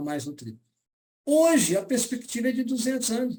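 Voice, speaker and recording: This man has a dark, mellow tone and talks at a fairly quick pace. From Brazil, Belo Horizonte. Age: 70s. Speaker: nutrition lecturer and seller. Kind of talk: lecture. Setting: live stream.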